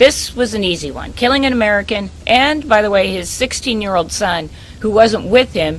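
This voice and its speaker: A woman speaks at a moderate pace with lively intonation. Her voice is medium-pitched, heard over noticeable background noise. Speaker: investigative reporter. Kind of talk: radio interview.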